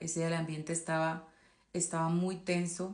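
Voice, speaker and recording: A woman with a fairly low voice talks at a moderate pace in a monotone, flat intonation. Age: 20s. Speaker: abuse survivor telling her story. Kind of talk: testimony. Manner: halting, with fillers.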